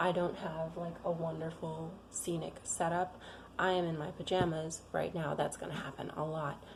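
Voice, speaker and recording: A woman with a fairly low pitch speaks at a moderate pace in monotone, flat intonation. Noticeable background noise and audible room echo surround her. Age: 30s. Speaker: Bible reading vlogger. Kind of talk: casual chat. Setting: home. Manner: halting.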